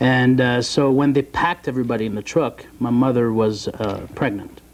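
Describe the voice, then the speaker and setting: A French accent shapes this man's speech. His intonation is fairly even. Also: medium pitch for a man, moderate pace. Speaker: bodybuilder and youth mentor. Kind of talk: TV interview. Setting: TV studio. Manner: halting, many fillers.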